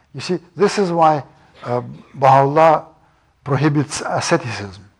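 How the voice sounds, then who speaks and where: With a Russian accent, a man speaks in a somewhat breathy voice with ordinary pitch variation. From Russia and Iran. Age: 70s. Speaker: professor. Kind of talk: lecture.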